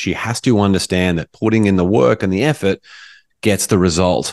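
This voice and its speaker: A man talks in a normal speaking voice. His pace is moderate. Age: 40s.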